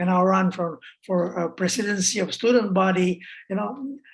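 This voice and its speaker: A woman at medium pitch and moderate pace, with ordinary pitch variation. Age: 60s. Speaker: human rights activist. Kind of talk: interview. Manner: halting, many fillers and repetitions.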